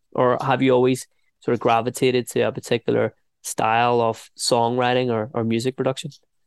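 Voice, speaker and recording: A man talks at a fairly quick pace at medium pitch. His intonation is monotone and flat. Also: dry, close sound with no echo. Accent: Northern Irish. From Northern Ireland, Ballynahinch. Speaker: radio host. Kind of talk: interview.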